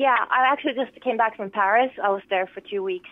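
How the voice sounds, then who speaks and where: With a slight Finnish accent, a woman speaks at a fairly quick pace and with fairly even intonation. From Finland, Lohja. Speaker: pop singer-songwriter. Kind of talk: interview. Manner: hesitant, many fillers.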